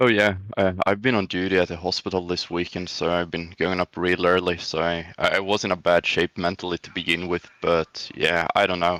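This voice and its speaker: A man's very deep, low voice with a Swedish accent, bright and sharp in tone, in a monotone, flat intonation with a dry, close sound and no echo. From Sweden. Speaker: sim racing driver. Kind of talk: post-race interview.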